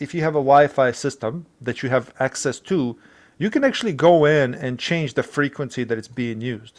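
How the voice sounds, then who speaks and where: A man with a non-native accent speaks at a moderate pace in a fairly high pitch with ordinary pitch variation, a quiet background behind him. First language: not English. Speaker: IT tech support worker. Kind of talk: tutorial; reading aloud. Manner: halting.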